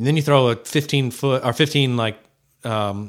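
A man of medium pitch has an unremarkable speaking voice and keeps his intonation fairly even. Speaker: entrepreneur and endurance athlete. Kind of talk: casual interview chat.

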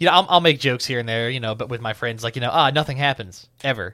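Talking very fast, a man uses a bright, sharp tone at a medium pitch on a very clean recording with a silent background. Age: 20s. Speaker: gunsmith and marketing student. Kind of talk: casual interview chat.

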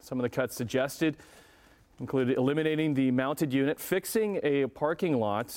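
A man with an unremarkable speaking voice and a fairly high pitch. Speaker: morning show news anchor. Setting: TV studio.

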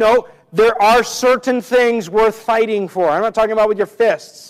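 With an American accent, a man speaks at a high pitch using fairly even intonation. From US Northwest. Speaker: pastor. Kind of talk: sermon.

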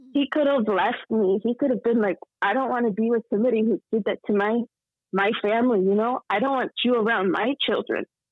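Fairly high-pitched and fairly quick, a woman speaks in an ordinary speaking voice with ordinary pitch variation and big swings in loudness. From Texas. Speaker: guest sharing faith testimony. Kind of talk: testimony.

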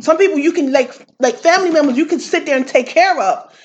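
A woman rattles along at a very fast pace with lively intonation. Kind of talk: casual interview chat.

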